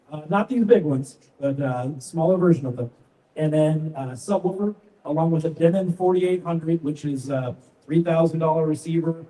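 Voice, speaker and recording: Fairly fast talk amid clear background noise, its pitch moving normally. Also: man, fairly high pitch for a man. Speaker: audio company trainer. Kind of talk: live product presentation. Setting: large retail store with audience. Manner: loud.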